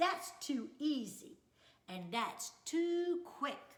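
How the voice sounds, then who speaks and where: A woman uses a put-on character voice at an extremely high pitch. She talks at a very slow pace. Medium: read story.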